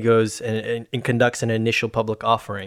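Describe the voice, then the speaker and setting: A man with a plain, everyday voice at a medium pitch and moderate pace. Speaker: podcast host. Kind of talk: casual chat.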